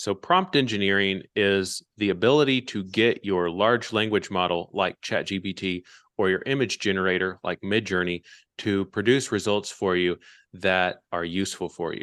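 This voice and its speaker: A man speaks at a moderate pace in a normal speaking voice, with an American accent and a fairly low pitch. His intonation is fairly even, and the sound is dry and close with no echo against a quiet background. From US (Kansas and Tennessee). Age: 30s. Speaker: AI educator. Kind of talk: interview.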